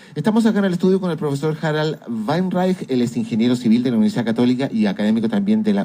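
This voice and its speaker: A man talks at a very fast pace in a dark, mellow tone. His pitch swings very widely. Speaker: radio host. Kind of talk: radio news talk. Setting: radio studio.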